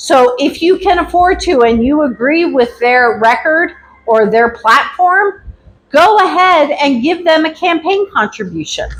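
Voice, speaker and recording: A loud woman talks fairly slowly in a high voice with very wide pitch swings. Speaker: activism class instructor. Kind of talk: lecture. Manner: casual.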